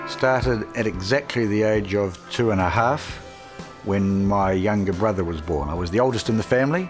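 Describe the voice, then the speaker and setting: Music plays behind a man with a New Zealand accent. His pitch is fairly low, with ordinary pitch variation. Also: moderate pace. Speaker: youth court judge. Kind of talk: interview answer.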